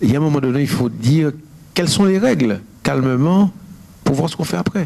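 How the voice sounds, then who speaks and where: Here a man talks at a medium pitch. His pitch swings are very wide. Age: 60s. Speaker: painter. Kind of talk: interview at public talk. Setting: university lecture hall with audience. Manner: halting, many repetitions.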